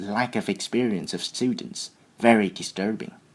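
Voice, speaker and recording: A man with a Vietnamese accent at medium pitch and moderate pace. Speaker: IELTS test candidate. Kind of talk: mock speaking exam interview. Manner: hesitant, with fillers and repetitions.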